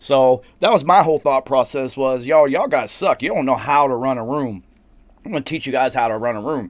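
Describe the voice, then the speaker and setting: A man with a Southern US accent speaks at a medium pitch, recorded very cleanly against a silent background. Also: ordinary pitch variation. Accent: southern drawl. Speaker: recording engineer and show host. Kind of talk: casual chat. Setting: studio.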